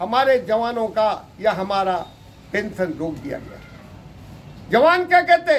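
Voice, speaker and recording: This man's voice swings very widely in pitch as he speaks. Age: 80s+. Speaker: retired paramilitary officer. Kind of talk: interview monologue. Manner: impassioned, rhetorical.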